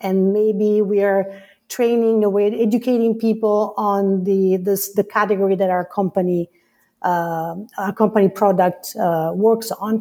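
A woman with an Italian accent speaks at a fairly slow pace in a medium pitch, her dark, mellow tone held in monotone, flat intonation at a very even loudness. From Italy. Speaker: customer education leader. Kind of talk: casual interview chat.

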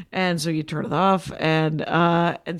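This woman has a plain, everyday voice with an American accent. Her pitch is fairly low and her pace fairly slow. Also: very clean recording, silent background. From US Midwest, Wisconsin. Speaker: stand-up comedian. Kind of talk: casual interview chat.

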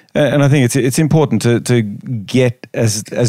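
Speaking at a moderate pace, a man with a medium pitch and a dark, mellow tone keeps his intonation fairly even. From Australia. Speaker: chiropractic researcher. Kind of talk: casual chat. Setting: hotel room.

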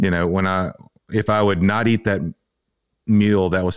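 The speaker has a Tennessee accent, heard on a very clean recording over a silent background. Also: man. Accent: Southern US (Tennessee). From Tennessee, US South. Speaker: fitness coach and gym owner. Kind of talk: casual interview chat.

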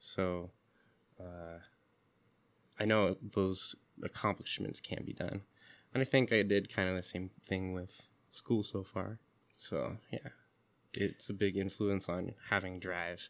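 A man at a very slow pace with long, frequent pauses and fairly even intonation, in a very clean recording with a silent background. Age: 30s. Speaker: musician and graduate student. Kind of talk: casual interview. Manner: hesitant, many fillers.

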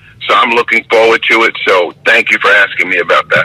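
Recorded with a dry, close sound and no echo but noticeable background noise, a man speaks at a moderate pace. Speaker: basketball referee. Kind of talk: casual chat. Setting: outdoors.

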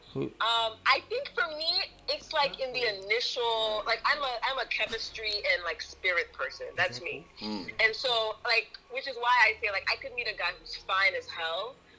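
A woman talks at a fairly slow pace with hardly any pauses, over noticeable background noise. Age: 30s. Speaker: guest panelist. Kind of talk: casual chat.

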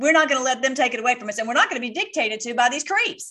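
A woman talks at a very fast pace in a raised, projected voice, her high pitch moving with lively intonation. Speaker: online political commentator. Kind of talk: casual commentary over replayed clips. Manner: rambling, repetitive with many fillers; fervent, ends in prayer.

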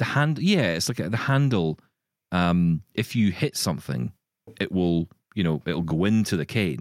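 Speaking at a moderate pace with a Glaswegian accent, a man with a very deep, low pitch swings very widely up and down. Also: dry, close sound with no echo. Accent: Glaswegian Scottish. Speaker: podcast host. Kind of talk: casual chat.

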